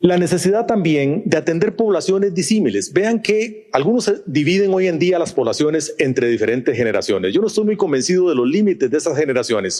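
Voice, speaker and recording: A man talks at a fairly quick pace in a high voice with a dark, mellow tone, his intonation lively and his loudness very even. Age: 60s. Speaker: business executive, conference speaker. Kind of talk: conference talk. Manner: talkative.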